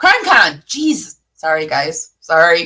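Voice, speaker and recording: This woman's voice has a bright, sharp tone and an animated delivery. Her pitch swings very widely. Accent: American. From US Midwest, Michigan. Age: 50s. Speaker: YouTube commentator. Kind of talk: casual reaction commentary. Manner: halting, word-finding slips after a stroke.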